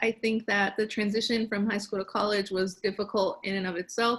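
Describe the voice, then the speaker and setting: A woman speaks with an unremarkable speaking voice at a medium pitch. Her intonation is fairly even. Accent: American. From Chicago, South Side. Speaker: panelist, pre-med student. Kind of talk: panel discussion.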